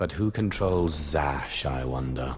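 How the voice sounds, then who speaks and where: A man's put-on character voice, very deep and low in pitch, with light background noise. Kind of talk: video game drama. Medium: video game. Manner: bold, confident.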